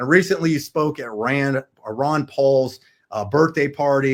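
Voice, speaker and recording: Recorded very cleanly over a silent background, a man talks at a medium pitch. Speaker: crypto video host. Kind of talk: casual interview chat. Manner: fast.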